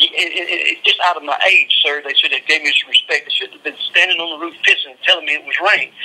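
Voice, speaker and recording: Someone with a Southern US accent races along at a very fast pace with hardly any pauses, amid noticeable background noise. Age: 50s. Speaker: death row inmate. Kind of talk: phone interview.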